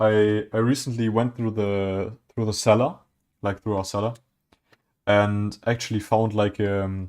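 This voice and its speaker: On a very clean recording with a silent background, a man with a German accent and a fairly low pitch speaks at a fairly slow pace in a flat monotone, leaving long, frequent pauses. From southwest Germany. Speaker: streamer building Lego. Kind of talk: casual chat. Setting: live stream. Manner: halting.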